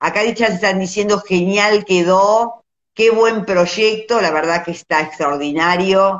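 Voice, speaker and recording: The background is quiet. A woman talks at a very slow pace. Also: ordinary pitch variation. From Argentina. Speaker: visual artist, live-stream host; host of art talk. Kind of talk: casual live-stream chat. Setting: Instagram live video. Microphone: phone near.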